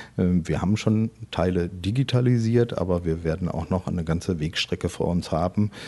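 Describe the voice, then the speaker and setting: A man with a very deep, low pitch and a dark, mellow tone talks at a moderate pace with ordinary pitch variation. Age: 40s. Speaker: head of a municipal health department. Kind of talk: interview.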